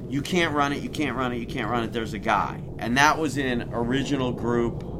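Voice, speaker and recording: Noticeable background noise and audible room echo fill the recording. The speaker keeps a moderate pace. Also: man. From Chicago, US Midwest. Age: 50s. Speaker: sports club executive. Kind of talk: casual chat. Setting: outdoors.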